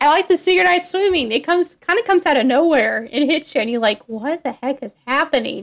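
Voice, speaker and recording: A woman talks at a very fast pace with hardly any pauses. Her pitch is high and swings very widely. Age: 20s. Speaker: host's sister, movie fan. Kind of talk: casual chat.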